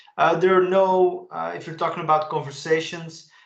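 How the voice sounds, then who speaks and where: Somewhat breathy speech with a Dutch accent. The intonation stays fairly even. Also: man. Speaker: tech expert presenter. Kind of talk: webinar presentation.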